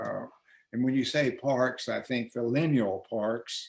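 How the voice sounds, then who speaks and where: Speaking with an American accent, a man uses a medium pitch. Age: 80s+. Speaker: author and county official. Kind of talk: interview. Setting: virtual discussion.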